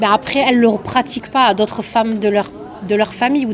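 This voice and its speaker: A woman with a southern French accent speaks very fast at a fairly high pitch, her intonation fairly even, over noticeable background noise. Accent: southern French (Toulouse). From southern France, Toulouse. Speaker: comedian. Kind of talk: interview.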